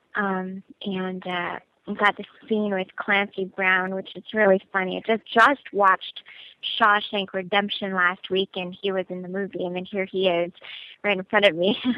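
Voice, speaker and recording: A woman speaks at a moderate pace in a medium pitch. Her intonation stays monotone and flat while her loudness swings widely. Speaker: actress. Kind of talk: fan Q&A interview.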